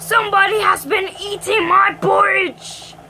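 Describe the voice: Using a put-on character voice, a woman growls at an extremely high pitch and a fairly slow pace.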